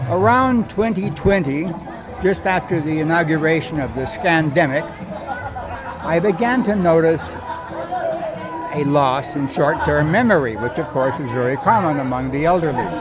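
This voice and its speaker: A man's fairly high voice with lively intonation and long, frequent pauses, over crowd noise in the background. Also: moderate pace. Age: 80s+. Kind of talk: casual first-person monologue to camera. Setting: outdoors.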